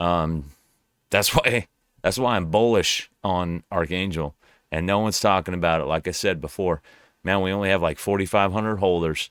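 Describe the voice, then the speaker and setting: A man's very deep, low voice at a moderate pace, with ordinary pitch variation, dry and close with no echo, in a very clean recording over a silent background. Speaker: crypto YouTuber. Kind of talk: casual commentary video. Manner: hesitant, repeats words.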